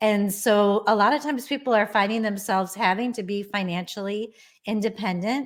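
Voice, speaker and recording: A woman's plain, everyday voice at a medium pitch, fairly even in intonation, on a very clean recording with a silent background. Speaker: divorce attorney, podcast host. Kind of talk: podcast host introduction.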